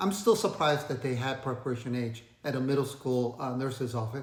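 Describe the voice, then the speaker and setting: Amid audible room echo, a somewhat breathy man with a slight Asian accent speaks at a moderate pace and a medium pitch. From Asia, moved to the US at twelve. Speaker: finance video creator. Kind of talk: casual storytelling vlog. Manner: hesitant, many fillers.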